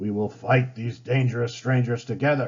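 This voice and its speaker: A man puts on a character voice that is raspy, medium in pitch, and flat and monotone in intonation. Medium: read story. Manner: grave, commanding.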